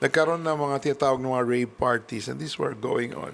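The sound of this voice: The pace is fast, with ordinary pitch variation. The tone is fairly bright, with vocal fry. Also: man, medium pitch for a man.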